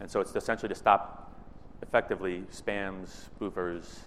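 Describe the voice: Loud and fairly bright in tone, a man speaks at low pitch and a moderate pace with fairly even intonation.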